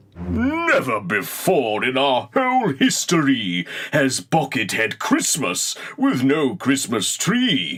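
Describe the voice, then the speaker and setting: Using a put-on character voice, a man speaks at a fairly high pitch and a fairly slow pace with very even loudness. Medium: read story.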